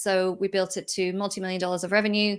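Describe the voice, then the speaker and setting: A woman at a medium pitch in an Irish accent, in a very clean recording with a silent background. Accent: Irish, hasn't picked up Australian. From Ireland. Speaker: entrepreneur and business mentor. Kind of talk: interview.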